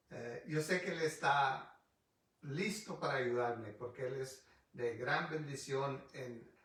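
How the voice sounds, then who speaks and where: A fairly slow male voice in audible room echo. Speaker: pastor. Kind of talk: bible study sermon. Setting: livestream video on Facebook. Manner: halting, frequent restarts.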